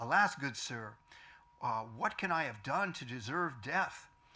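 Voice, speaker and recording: Putting on a character voice, a man speaks at a medium pitch and a moderate pace, shaky and swinging very widely in pitch. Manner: trembling, fearful.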